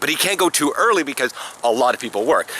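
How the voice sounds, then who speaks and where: Fairly high-pitched male voice over noticeable background noise. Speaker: semi-pro football player. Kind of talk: casual vlog talk.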